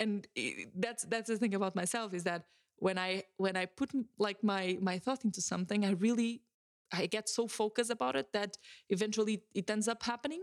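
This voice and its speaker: A woman talks at a medium pitch and a fairly quick pace with ordinary pitch variation. The recording is very clean, with a silent background. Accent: Portuguese. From Portugal. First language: Portuguese. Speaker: podcast host. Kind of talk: solo podcast monologue. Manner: hesitant, many fillers and repetitions.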